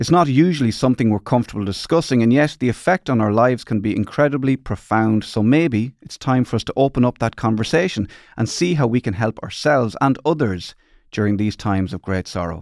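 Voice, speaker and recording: In a normal speaking voice of medium pitch, a man talks at a fairly quick pace with lively intonation, the sound dry and close with no echo on a very clean recording with a silent background. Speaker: podcast host. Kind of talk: casual interview.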